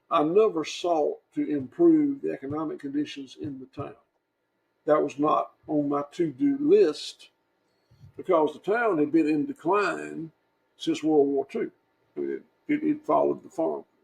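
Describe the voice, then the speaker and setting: Speaking fairly slowly, a man talks with a Southern US accent. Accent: Southern US (Georgia). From US South. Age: 60s. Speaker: farmer. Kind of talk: interview. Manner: halting.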